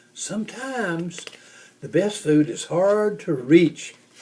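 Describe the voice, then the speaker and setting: Using a put-on character voice, a man speaks high in pitch at a fairly slow pace. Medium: read story. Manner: gentle, patient.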